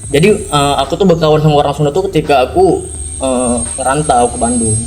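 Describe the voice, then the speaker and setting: Noticeable background noise sits behind a man speaking at a fairly quick pace. His pitch is fairly high, with ordinary variation. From Medan, North Sumatra. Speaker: podcast guest. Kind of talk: casual chat. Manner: blunt, loud.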